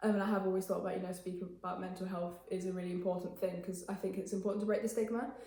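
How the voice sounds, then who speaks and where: A woman with an English accent speaks at a medium pitch amid noticeable background noise and audible room echo. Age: young. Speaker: interviewee, student mental health campaigner. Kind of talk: interview. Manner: fast; hesitant with fillers.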